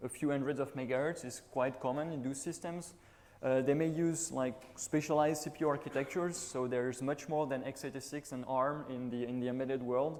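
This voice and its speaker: A man with a French accent talks fairly quickly at a medium pitch. His intonation stays fairly even. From France, Toulouse. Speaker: conference speaker, embedded Linux engineer. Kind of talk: conference talk. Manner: hesitant, with fillers.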